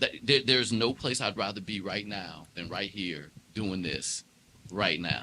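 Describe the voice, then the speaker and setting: A man with a slight DC accent and a bright, sharp tone speaks at a fairly slow pace. His pitch is fairly low, with ordinary pitch variation. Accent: slight DC twang. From Washington DC. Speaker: jazz keyboardist and entrepreneur. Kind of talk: casual interview chat.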